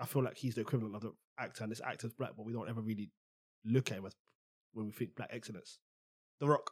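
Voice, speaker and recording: A man with a London accent at a very fast pace and medium pitch, with big swings in loudness, long, frequent pauses, and a dry, close sound with no echo. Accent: London Multicultural English. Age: 20s. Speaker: podcast co-host. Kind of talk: casual chat. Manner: animated.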